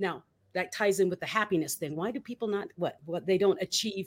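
In a very clean recording with a silent background, a woman with an American accent uses an ordinary speaking voice at a medium pitch with ordinary pitch variation. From Philippines (US military bases). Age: 50s. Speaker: motivational speaker and author. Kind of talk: interview.

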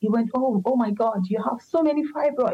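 A woman's dark, mellow tone comes through somewhat breathy as she talks at a moderate speed. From Nigeria. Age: 40s. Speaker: patient sharing health story. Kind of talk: interview testimony. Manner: halting, many fillers.

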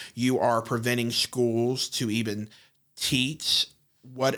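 A man with a plain, everyday voice speaks at a fairly slow pace with fairly even intonation, in a very clean recording with a silent background. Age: 30s. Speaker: podcast guest, LGBTQ advocate. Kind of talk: casual discussion. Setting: studio.

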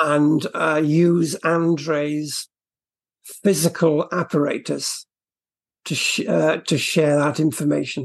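Speaking slowly with a fairly high pitch, a man keeps his pitch movement small, with a slightly husky edge and vocal fry.

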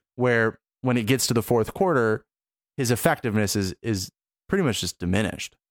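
A man with a normal speaking voice and medium pitch talks at a fairly quick pace in an American accent. The recording is very clean with a silent background and a dry, close sound with no echo. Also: lively intonation. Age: 20s. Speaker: sports podcast host. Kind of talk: casual chat.

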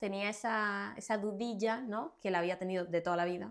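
A woman with a Cuban accent and medium pitch speaks at a fairly slow pace with ordinary pitch variation, in a very clean recording with a silent background. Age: 20s. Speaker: fashion model. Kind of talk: casual interview.

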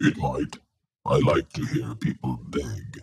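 Growling through a put-on character voice, a man speaks at a fairly slow pace. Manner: menacing.

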